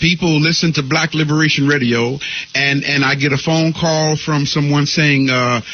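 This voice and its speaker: Over noticeable background noise, a man talks in a fairly high pitch at a moderate pace, his intonation fairly even and his loudness very even. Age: 60s. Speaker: spiritual leader and radio teacher. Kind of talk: interview.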